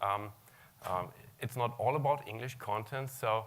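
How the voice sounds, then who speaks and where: A man with a German accent talks at a moderate pace, his pitch medium and its variation ordinary. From Germany. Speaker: search technology consultant. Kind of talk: conference talk.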